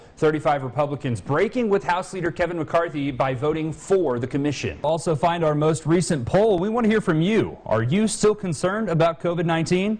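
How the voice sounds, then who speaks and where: A man speaks at a fairly quick pace with hardly any pauses, his high voice showing ordinary pitch variation over noticeable background noise. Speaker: TV news reporter / anchor. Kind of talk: TV news anchor read.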